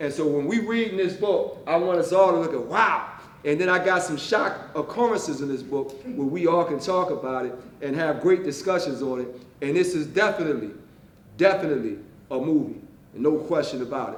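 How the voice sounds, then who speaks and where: A loud man's voice, high-pitched for a man, with lively intonation, an animated tone and a fairly quick pace, plus noticeable background noise and audible room echo. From West Philadelphia. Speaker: author. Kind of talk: author talk to library audience. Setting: library event with audience.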